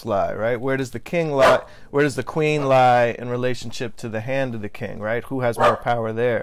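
The speaker uses a natural reading voice.

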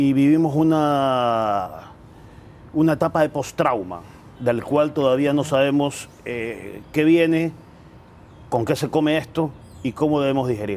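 The man's voice sits fairly high, with ordinary pitch variation. He speaks fairly slowly, leaving long, frequent pauses. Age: 40s. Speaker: political commentator; interview guest. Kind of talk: interview. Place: garden. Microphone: lapel.

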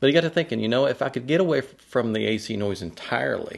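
A man talks at a fairly quick pace with vocal fry. The background is quiet. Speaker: audio gear reviewer. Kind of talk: casual vlog chat. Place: studio. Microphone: studio mic.

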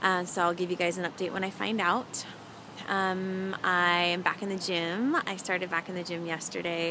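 There is noticeable background noise behind a woman with a fairly low pitch. Her moderate-paced voice sounds dry, with no echo. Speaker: vlogger. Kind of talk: casual vlog chat. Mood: upbeat, chatty. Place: street. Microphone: phone near.

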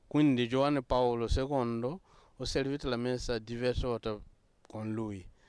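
At a fairly slow pace with long, frequent pauses, a man speaks at a medium pitch with fairly even intonation. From Burkina Faso. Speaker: Benedictine monk. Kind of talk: interview. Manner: halting.

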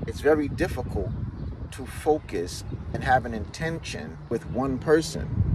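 A man at a fairly slow pace, with a dry sound with no echo, against loud background noise. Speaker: relationship commentator. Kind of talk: casual opinion monologue. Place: car. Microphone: phone near.

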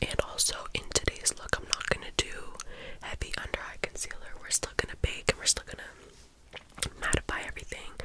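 A soft-spoken woman's whisper at a moderate pace, big swings in loudness, and noticeable background noise. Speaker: beauty vlogger. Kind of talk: casual makeup tutorial chat. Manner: soft close-mic ASMR whisper. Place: home room. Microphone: studio mic.

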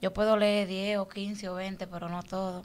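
Medium-pitched female voice. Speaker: social media personality; guest. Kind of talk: interview. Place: studio. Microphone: studio mic.

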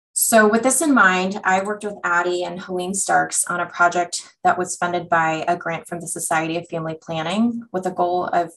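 Over light background noise, a woman with an unremarkable speaking voice and fairly low pitch speaks at a moderate pace with fairly even intonation. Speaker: physician; presenter. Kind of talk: lecture.

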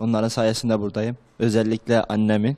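A man's dark, mellow voice at medium pitch, moving at a fairly quick pace. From Turkey, Erzurum; Turkey. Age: 20s. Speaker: madrasa student; talk show guest. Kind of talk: TV interview. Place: studio. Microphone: handheld.

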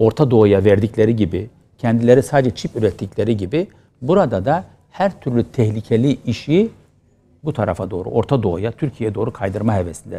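Dark and mellow in tone, a man speaks at a medium pitch and a moderate pace. His intonation is lively. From Turkey. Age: 50s. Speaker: opposition politician and pediatrics professor; opposition politician, pediatrics professor. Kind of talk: TV interview. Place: studio.

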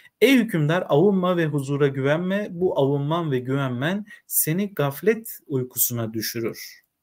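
A man speaks fairly slowly and with lively intonation, the background quiet. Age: 30s. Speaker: literature teacher; teacher reading. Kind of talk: reading aloud with commentary. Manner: hesitant, frequent filler sounds. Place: home room.

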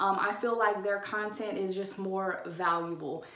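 In a room with audible echo, a woman speaks with an American accent and fairly even intonation. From Louisiana. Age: 20s. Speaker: influencer. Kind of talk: casual talk to camera. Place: bathroom. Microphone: phone near.

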